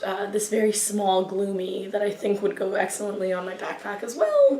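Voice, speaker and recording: Amid noticeable background noise and audible room echo, a woman of medium pitch speaks with an American accent in a monotone, flat intonation. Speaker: YouTuber. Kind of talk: casual haul review monologue. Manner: halting, many fillers.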